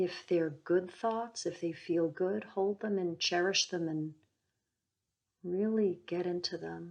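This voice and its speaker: A woman speaks very slowly in a soothing tone, her pitch varying in an ordinary way. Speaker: psychic healer and meditation guide. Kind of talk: guided meditation. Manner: slow, soothing.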